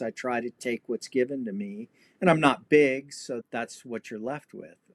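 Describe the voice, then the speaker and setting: With an American accent, a man speaks in an ordinary speaking voice at medium pitch, fairly slowly and with fairly even intonation, in a very clean, dry, close recording with a silent background and no echo. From Los Angeles, California. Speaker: historian and martial artist. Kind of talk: casual interview chat.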